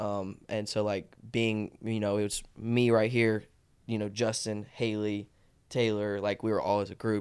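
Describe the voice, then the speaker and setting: A man with an Alabama accent, a fairly low pitch, and monotone, flat intonation at a fairly slow pace. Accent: Southern US (Alabama). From Alabama, Tuscaloosa. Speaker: social media personality and marketing business owner. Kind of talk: casual chat.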